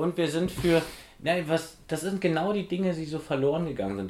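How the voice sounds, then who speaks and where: The pace is very fast. This man's voice sits fairly high in pitch. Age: 40s. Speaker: physiotherapist and osteopath in training, podcast co-host. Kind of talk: casual chat.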